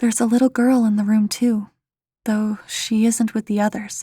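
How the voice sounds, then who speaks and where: A woman speaks at a fairly high pitch and a moderate pace, her tone dark and mellow and somewhat breathy. Her intonation stays monotone and flat in a very clean, dry, close recording with a silent background and no echo. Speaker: creepypasta narrator. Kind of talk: first-person scary story narration.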